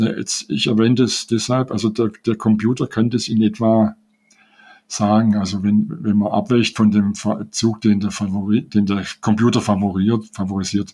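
With a Swabian accent, a man speaks at a moderate pace and a fairly low pitch, his dark, mellow tone carrying fairly even intonation and very even loudness. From Swabia, Germany. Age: 70s. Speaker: chess player and rating researcher. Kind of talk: interview. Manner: halting, many fillers.

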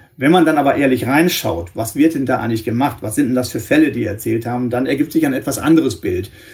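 A man's somewhat breathy voice at medium pitch, very fast. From northwestern Germany. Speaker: press spokesman and journalist for a victim support organisation. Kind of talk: interview.

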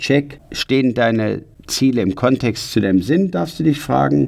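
A man's vocal fry and lively intonation at a fairly slow pace. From Ruhr area, Germany. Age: 50s. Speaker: personal development coach. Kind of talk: motivational podcast monologue. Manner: energetic.

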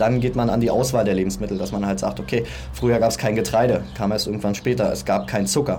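Talking at a fairly quick pace with ordinary pitch variation, a man is heard through audible room echo and noticeable background noise. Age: 30s. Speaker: personal trainer and aspiring entrepreneur. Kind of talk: casual interview. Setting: outdoors on a sunny balcony.

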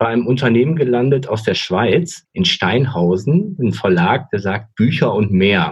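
A man's somewhat breathy voice with very wide pitch swings at a fairly slow pace. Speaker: podcast host. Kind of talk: casual interview. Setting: remote recording. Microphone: connection sometimes thin, robotic words.

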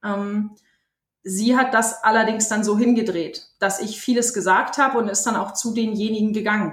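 Somewhat breathy, a woman with a fairly high pitch talks at a moderate pace with fairly even intonation. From Bremen, northern Germany. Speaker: poetry slammer. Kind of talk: interview.

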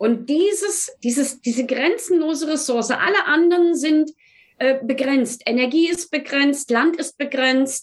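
A high-pitched woman talks at a fairly slow pace with ordinary pitch variation. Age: 60s. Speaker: math teacher. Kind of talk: interview conversation.

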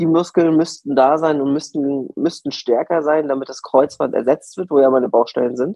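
A man with a normal speaking voice talks at a fairly high pitch that moves in an ordinary way. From northern Germany, Mecklenburg-Vorpommern. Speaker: podcast co-host. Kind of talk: casual chat. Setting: remote from home.

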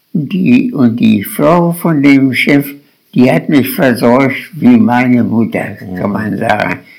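A man with a medium-pitched voice talks at a very slow pace, his pitch swinging very widely. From Lower Saxony, Germany. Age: 80s+. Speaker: war veteran. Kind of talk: life story interview. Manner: halting.

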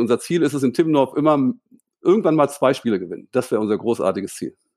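Over a quiet background, a man talks at a very fast pace with lively intonation and a fairly high pitch. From northern Germany, Hildesheim. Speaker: volleyball coach. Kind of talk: casual interview. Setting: remote call from home.

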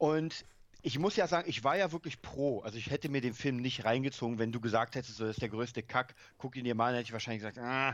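Against a quiet background, a man of medium pitch talks very fast with ordinary pitch variation. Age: 30s. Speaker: film podcast co-host. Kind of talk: casual chat.

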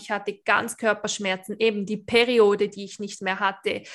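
The recording is very clean with a silent background. A woman with an unremarkable speaking voice talks at a moderate pace with fairly even intonation. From Switzerland. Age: 20s. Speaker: beautician and awareness coach. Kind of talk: interview, personal testimony.

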